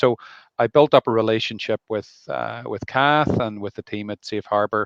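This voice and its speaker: In an Irish accent, a man speaks at a moderate pace with a fairly low pitch. The sound is dry and close with no echo, against a quiet background. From Ireland. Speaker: family doctor. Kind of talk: live interview. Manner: hesitant, many fillers.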